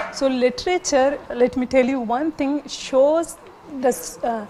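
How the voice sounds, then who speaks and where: Fairly slow speech from a woman, ordinary pitch variation, noticeable noise in the background. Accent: Baluchi. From Pakistan, Baluchi-speaking. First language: Baluchi. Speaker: literature scholar. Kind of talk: TV panel discussion.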